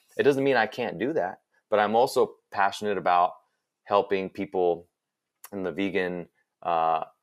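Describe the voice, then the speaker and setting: A man speaks in a fairly low pitch with ordinary pitch variation. The recording is very clean, with a silent background. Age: 40s. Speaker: vegan advocate, podcast guest. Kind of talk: interview. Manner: halting, with many fillers and repeats.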